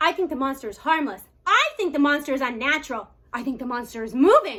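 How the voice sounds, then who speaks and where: A woman speaks quietly at a very fast pace in a high-pitched, put-on character voice. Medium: read story. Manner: anxious, hushed.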